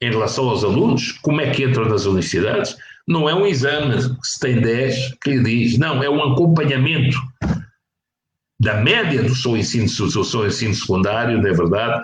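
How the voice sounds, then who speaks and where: A man talks at medium pitch, somewhat breathy, with ordinary pitch variation and a moderate pace. Room echo is audible. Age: 60s. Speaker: professor. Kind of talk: interview. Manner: halting.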